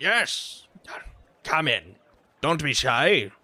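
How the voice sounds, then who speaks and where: Here is a put-on character voice from a man. It sounds gruff and sits fairly high in pitch. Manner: inviting, welcoming.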